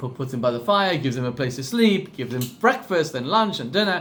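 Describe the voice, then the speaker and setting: Against audible room echo, a man with a South African accent talks at a fairly quick pace, his intonation lively. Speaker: rabbi. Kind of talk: class talk with storytelling.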